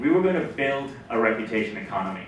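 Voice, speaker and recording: Amid noticeable background noise and audible room echo, a man at medium pitch makes very wide pitch swings. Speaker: tech company CEO. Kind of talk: conference talk. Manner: fast.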